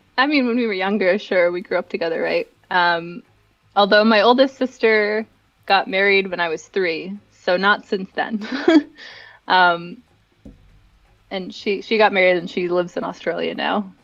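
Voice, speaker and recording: Medium-pitched woman at a moderate pace with ordinary pitch variation and long, frequent pauses, over music in the background. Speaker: fashion event director. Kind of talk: interview chat.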